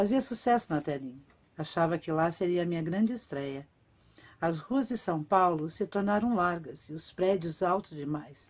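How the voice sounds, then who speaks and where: A woman with a normal speaking voice, fairly low in pitch, speaks at a moderate pace with lively intonation on a very clean recording with a silent background. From Brazil, Curitiba (Paraná). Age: 50s. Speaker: actress and writer. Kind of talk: autobiographical reading of a written text.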